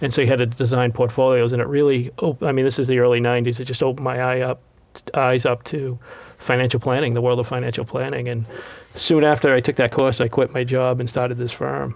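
Monotone, flat intonation carries a man's speech. He talks at a very fast pace in a Boston accent. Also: medium pitch for a man. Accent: Boston-area New England. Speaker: financial advisor. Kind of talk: casual interview chat.

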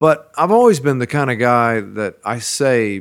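A man with a Texan accent. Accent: Texan American. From Central Texas (Washington County). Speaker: singer-songwriter. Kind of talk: casual interview conversation. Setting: living room. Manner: hesitant, many fillers and restarts.

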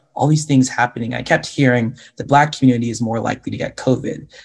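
Very fast speech with vocal fry and fairly even intonation comes in an American accent. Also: man. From Washington State, US. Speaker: medical student and social media health educator. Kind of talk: panel discussion.

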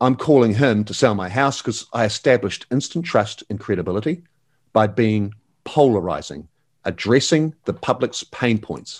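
In a New Zealand accent, a man speaks at a moderate pace and medium pitch with lively intonation. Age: 50s. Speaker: real estate agent and coach. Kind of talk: interview. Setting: remote call. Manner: animated.

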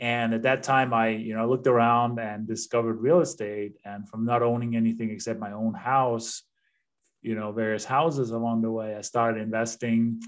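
With a Danish accent, a man speaks at a moderate pace and medium pitch in a monotone, flat delivery over a quiet background. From Denmark. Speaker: real estate investor and coach. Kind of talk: podcast interview.

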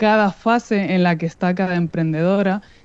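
Moderate pacing and fairly even intonation in a dark, mellow tone. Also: woman. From Spain, Madrid. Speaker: podcast host, sustainability business consultant. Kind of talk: radio interview.

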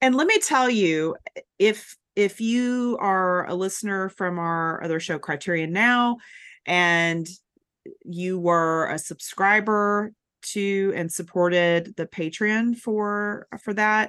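A woman speaks with an American accent. Her pace is very slow against a quiet background. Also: medium pitch for a woman, ordinary pitch variation. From US South, Chattanooga, Tennessee. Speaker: freelance film writer and podcast host. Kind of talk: casual chat. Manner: halting, many fillers.

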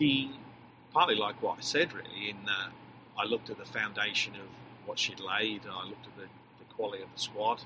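Through noticeable background noise, a man speaks at a fairly low pitch. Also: ordinary pitch variation. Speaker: soccer head coach. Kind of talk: interview, casual chat.

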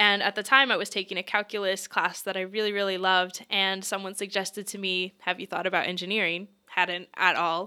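In a Mid-Atlantic accent, a woman speaks fairly quickly at a medium pitch with a bright, sharp tone and monotone, flat intonation. The recording is very clean, with a silent background. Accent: American, Mid-Atlantic. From Pennsylvania, US. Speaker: tech program manager, mental health advocate. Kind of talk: interview. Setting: office.

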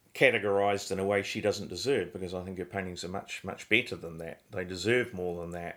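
In a very clean recording with a silent background, the speaker uses fairly even intonation with a New Zealand accent. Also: man. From New Zealand, Christchurch. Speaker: painter. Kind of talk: interview.

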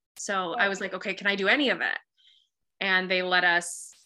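Over a quiet background, a woman talks at a fairly quick pace with a medium pitch and a bright, sharp tone. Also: long, frequent pauses. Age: 30s. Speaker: podcast guest sharing infertility journey. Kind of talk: testimony.

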